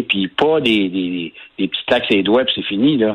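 A man speaks at a medium pitch with ordinary pitch variation. He has a Quebec accent. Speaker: environmental organization founder. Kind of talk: radio interview.

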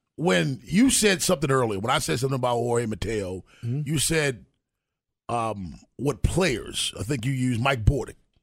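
At a moderate pace, a man with a medium-pitched, somewhat breathy voice speaks with lively intonation. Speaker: sports radio host. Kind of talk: casual sports talk radio. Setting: radio studio. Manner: animated.

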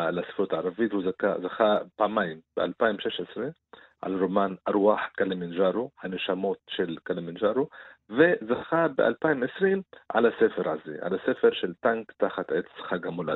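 A man with an Arabic accent speaks at a fairly low pitch. His pace is very slow, and his intonation is lively. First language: Arabic (speaking Hebrew). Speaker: writer and Arabic literature commentator. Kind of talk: radio interview. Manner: halting.

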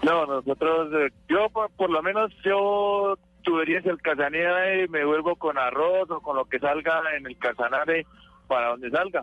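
This is a plain, everyday voice with ordinary pitch variation. It moves at a fairly slow pace. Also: man, fairly high pitch for a man. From Colombia. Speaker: truck driver. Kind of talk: radio call-in.

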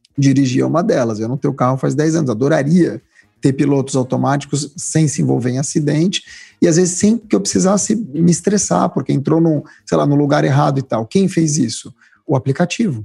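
This man speaks at a fairly quick pace with vocal fry, lively intonation and a fairly high pitch. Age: 40s. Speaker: writer and public speaker. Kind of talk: interview conversation.

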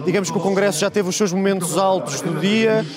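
Behind speech with fairly even intonation, noticeable background noise is present. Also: man. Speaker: political commentator. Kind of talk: political panel debate. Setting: remote link from party congress venue.

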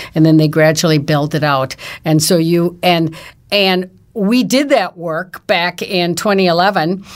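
In a very clean recording with a silent background, a woman uses a normal speaking voice, fairly low in pitch, at a fairly slow pace with ordinary pitch variation. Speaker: downtown business advocate, editorial board member. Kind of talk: casual chat.

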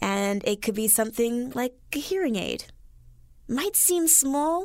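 A woman has an unremarkable speaking voice with lively intonation. She talks at a moderate pace on a very clean recording with a silent background. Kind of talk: radio talk show. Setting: radio studio.

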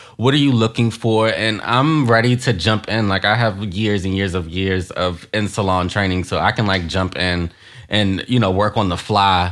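With an unremarkable speaking voice, a man talks at a moderate pace with hardly any pauses, his fairly low pitch showing ordinary variation on a very clean recording with a silent background. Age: 20s. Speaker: hairstylist. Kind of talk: interview.

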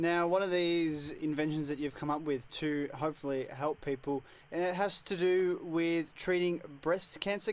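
Mumbling at a moderate pace, a man with an Australian accent uses a fairly high pitch and ordinary pitch variation. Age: 20s. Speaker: community radio co-host. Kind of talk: casual chat and interview. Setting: studio. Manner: mumbles a bit.

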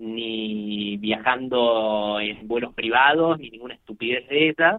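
A man's medium-pitched voice with ordinary pitch variation, at a very slow pace. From Argentina. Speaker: poker industry businessman, former pro player. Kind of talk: interview.

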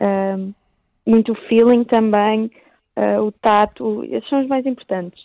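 A plain, everyday voice: a woman at a fairly high pitch, moderate pace and fairly even intonation. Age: 18. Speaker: blind surfing athlete. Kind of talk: radio interview. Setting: phone call.

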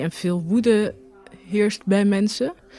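At a very slow pace, a woman speaks. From Rotterdam, Netherlands. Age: 30s. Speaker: journalist. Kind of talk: personal testimony. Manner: halting, with repetitions.

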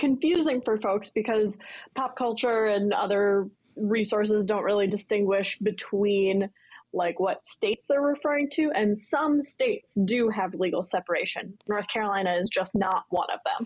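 Delivered at a moderate pace with very even loudness and ordinary pitch variation, this is an unremarkable speaking voice over a quiet background. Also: woman, fairly high pitch for a woman. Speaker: lawyer. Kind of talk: casual chat. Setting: remote link.

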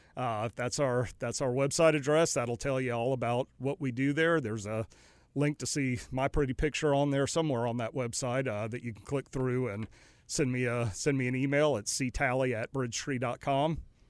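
A plain, everyday voice, a man's with an American accent and medium pitch, runs with fairly even intonation on a very clean recording against a silent background. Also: moderate pace. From North Carolina. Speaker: company CEO. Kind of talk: interview. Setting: studio.

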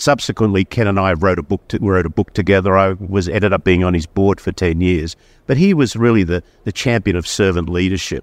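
Speaking fairly quickly with an Australian accent, a man has a very deep, low pitch and ordinary pitch variation, recorded dry and close with no echo over a quiet background. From Australia, Sydney. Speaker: company chief executive. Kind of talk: interview.

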